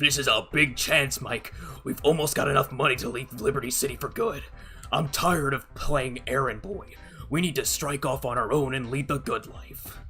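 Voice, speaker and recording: A put-on character voice sits at a low-to-middle pitch and moves at a moderate pace. Clear background noise is audible. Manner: put-on, exaggerated character voice.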